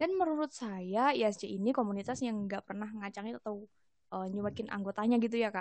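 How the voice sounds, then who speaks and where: An ordinary speaking voice from a woman, fairly high in pitch with ordinary pitch variation, at a fairly quick pace. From East Java, Indonesia. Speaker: university student and community volunteer. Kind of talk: casual podcast interview.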